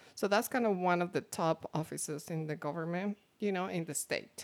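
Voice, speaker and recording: In a Mexican accent, a woman speaks at a medium pitch with ordinary pitch variation, in a very clean recording with a silent background. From Mexico. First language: Spanish. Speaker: guest talking about becoming a US citizen. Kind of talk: casual interview.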